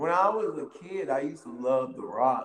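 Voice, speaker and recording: The voice carries an animated tone and an American accent at a moderate pace. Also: man. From US South, Wilmington, North Carolina. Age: 30s. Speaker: professional wrestler. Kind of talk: casual interview.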